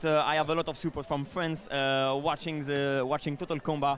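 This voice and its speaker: The speaker is a man with a French accent. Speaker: combat sports pundit. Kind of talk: live commentary.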